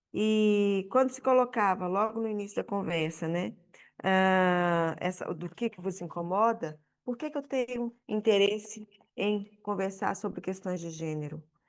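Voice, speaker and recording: A woman with a Brazilian accent, a medium pitch, ordinary pitch variation, big swings in loudness, and a fairly slow pace. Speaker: audience member at panel debate. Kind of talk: public debate contribution. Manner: halting, many repetitions.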